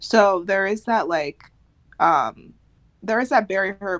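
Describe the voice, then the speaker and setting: In a very clean recording with a silent background, a woman speaks at a very slow pace with an American accent. Her fairly low voice moves through very wide pitch swings. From United States. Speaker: podcast co-host. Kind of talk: casual chat.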